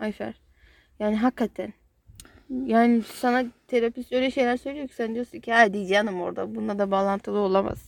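At a moderate pace, the voice shows ordinary pitch variation in a dry, close sound with no echo. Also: woman. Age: 20s. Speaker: podcast co-host sharing her therapy experience. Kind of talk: casual chat.

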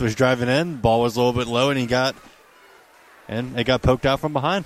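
Very fast speech comes through over noticeable background noise. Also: man. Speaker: color commentator. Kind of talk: live sports commentary, analysis.

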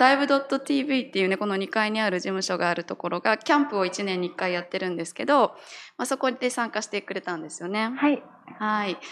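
Against a silent background in a very clean recording, a woman talks at a fairly quick pace with lively intonation. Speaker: podcast host. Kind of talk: casual interview. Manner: animated.

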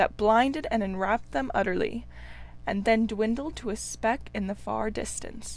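Ordinary pitch variation in plain reading aloud

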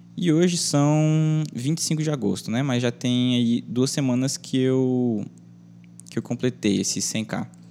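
This man speaks at a very slow pace. His voice has a medium pitch and a dark, mellow tone. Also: ordinary pitch variation. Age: 20s. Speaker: YouTuber and podcaster. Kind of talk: casual monologue.

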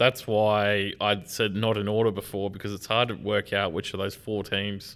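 Fairly low-pitched male speech with an Australian accent, monotone and flat, at a moderate pace. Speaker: football podcast co-host. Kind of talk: casual chat.

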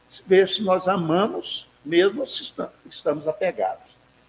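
A high-pitched man's voice at a fairly slow pace. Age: 70s. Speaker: spiritist lecturer. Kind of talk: sermon. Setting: spiritist center with live audience.

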